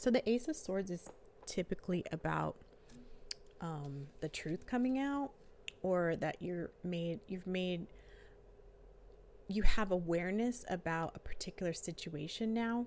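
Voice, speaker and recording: A soft-spoken woman at a fairly slow pace, with long, frequent pauses. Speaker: tarot reader and life coach. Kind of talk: tarot reading. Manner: casual with many fillers. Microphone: new microphone.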